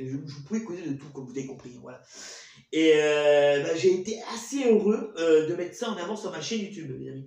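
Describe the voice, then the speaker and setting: A man with a high-pitched voice talks at a fairly quick pace, his pitch swinging very widely, against noticeable background noise. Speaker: YouTuber, show host. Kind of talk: casual monologue to viewers. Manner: fast; stuttering, halting.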